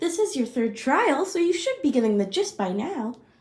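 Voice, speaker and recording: A put-on character voice speaks at a moderate pace in a high pitch. The pitch swings very widely throughout. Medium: audio drama. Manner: playful, mocking.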